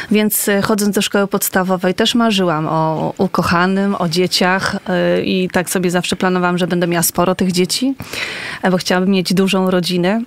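Against noticeable background noise, a woman speaks at medium pitch and a moderate pace, with fairly even intonation and very even loudness. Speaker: nun. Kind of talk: casual interview chat. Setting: radio studio.

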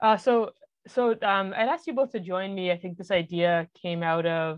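Speaking at a fairly slow pace, a woman has an American accent. Hers is an ordinary speaking voice with ordinary pitch variation. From Massachusetts, Boston area. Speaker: podcast host. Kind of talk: interview hosting.

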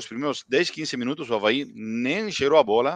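A man speaks with an Argentine accent at a moderate pace. The sound is dry and close with no echo, over a quiet background. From Argentina, Buenos Aires area. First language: Spanish (speaking Portuguese). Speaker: football commentator. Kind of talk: casual post-match chat. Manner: halting, mixing Spanish and Portuguese.

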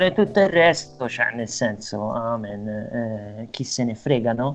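Over noticeable background noise, the speaker uses lively intonation at a very slow pace. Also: man. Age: 30s. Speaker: financial operator living with HIV, documentary subject. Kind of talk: casual chat.

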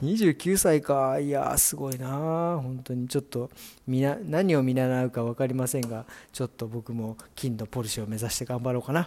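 At a moderate pace, a man speaks in a dark, mellow tone at a medium pitch. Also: ordinary pitch variation. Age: 40s. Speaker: hairdresser. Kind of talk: casual solo podcast. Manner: casual, chatty.

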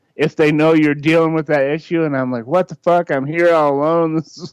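This is a man with an ordinary speaking voice, pitched fairly high. The sound is dry and close, without echo. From Michigan. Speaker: podcast co-guest. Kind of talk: casual chat.

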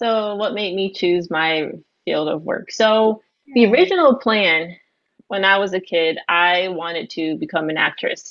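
A woman with an unremarkable speaking voice talks fairly slowly, at medium pitch and with ordinary pitch variation. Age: 20s. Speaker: guest host, graphic designer. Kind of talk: casual chat.

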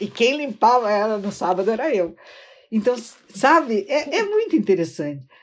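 A woman talks at a fairly high pitch, her voice making very wide pitch swings. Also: moderate pace. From Rio Grande do Sul, city of Rio Grande. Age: 60s. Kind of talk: casual chat.

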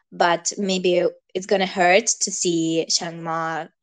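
In a non-native accent, a woman speaks at a medium pitch with fairly even intonation against a quiet background. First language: not English. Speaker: podcast co-host. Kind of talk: casual discussion.

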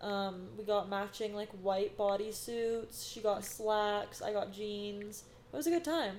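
Speaking at a fairly slow pace with an American accent, a woman has a plain, everyday voice of medium pitch and ordinary pitch variation. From US West, Sacramento area. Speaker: esthetician and instructor, podcast co-host. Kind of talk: casual chat. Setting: studio.

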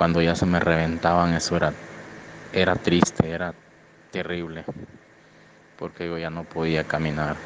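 A man's very deep, low-pitched monotone with flat intonation, amid noticeable background noise. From Honduras. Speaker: migrant. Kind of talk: testimony. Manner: halting.

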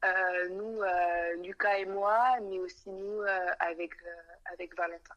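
Her pitch sits in the medium range for a woman, and she speaks at a very slow pace. Her intonation is monotone and flat. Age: 20s. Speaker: young mother. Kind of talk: testimony.

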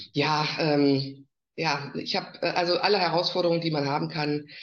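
The delivery is fairly slow, and pitch variation stays ordinary. Overall it is a plain, everyday voice. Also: woman. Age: 50s. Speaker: network marketer. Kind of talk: casual interview.

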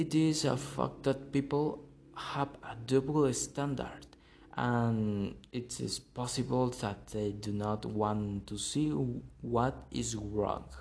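This speaker has a Spanish accent. The pace is very slow. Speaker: podcast host. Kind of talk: monologue. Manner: halting.

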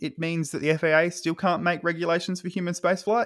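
A man speaks with an Australian accent. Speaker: space lawyer, podcast co-host. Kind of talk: casual explanatory chat.

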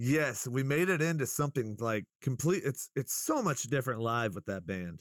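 A man with an American accent and a plain, everyday voice talks at a fairly quick pace. His intonation is lively, and the sound is dry and close with no echo. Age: 30s. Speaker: local rapper and musician. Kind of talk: casual interview chat. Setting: video call. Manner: laid-back, profane.

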